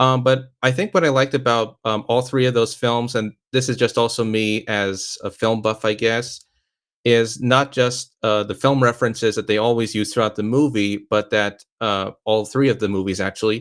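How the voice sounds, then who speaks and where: Fairly even intonation from a medium-pitched man at a moderate pace. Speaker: film podcast host. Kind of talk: casual chat. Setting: audio-only online call. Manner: halting, hesitant.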